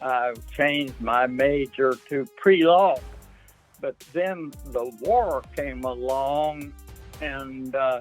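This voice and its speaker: Pitch varies in an ordinary way. Music can be heard behind the voice. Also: man. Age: 80s+. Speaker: war veteran. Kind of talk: interview answer.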